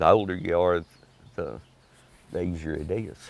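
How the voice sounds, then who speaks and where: A man with a Texas accent at a fairly slow pace. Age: 70s. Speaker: oral history interviewee. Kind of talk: interview. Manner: halting.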